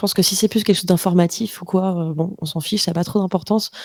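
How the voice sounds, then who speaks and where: Speaking at a very fast pace with fairly even intonation, a woman with a medium pitch comes through in a dry, close sound with no echo. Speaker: podcast creator, voice coach. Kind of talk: masterclass conversation. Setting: live stream.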